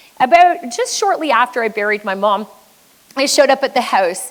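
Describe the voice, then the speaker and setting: A woman speaks at a high pitch with very wide pitch swings. Noticeable background noise runs underneath. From Quebec, French Canadian. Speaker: business coach. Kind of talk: motivational keynote talk. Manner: high energy.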